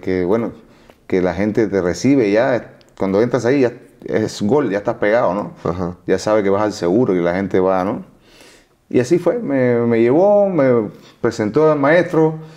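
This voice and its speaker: A man speaks with a dark, mellow tone. His pace is moderate and the background is quiet. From Cuba. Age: 40s. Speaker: singer; interviewee. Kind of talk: interview. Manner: halting. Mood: relaxed storytelling. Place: studio. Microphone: lapel.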